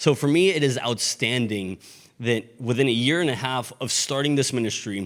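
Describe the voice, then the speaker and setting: With a Spanish accent, the speaker keeps a moderate pace and ordinary pitch variation. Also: man, medium pitch for a man. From Mexico. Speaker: pastor. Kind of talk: sermon.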